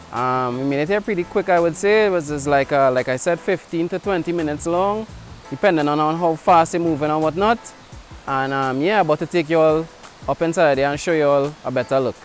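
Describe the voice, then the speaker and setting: Over music in the background, a man with a Trinidadian accent talks at a fairly quick pace in a fairly high voice, his pitch varying in an ordinary way. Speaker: hiking vlogger. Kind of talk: casual talk to camera. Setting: outdoors.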